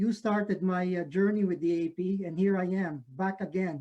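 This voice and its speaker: The speaker talks at a moderate pace with a Filipino accent. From Philippines. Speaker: professor. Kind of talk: lecture. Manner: halting with many fillers.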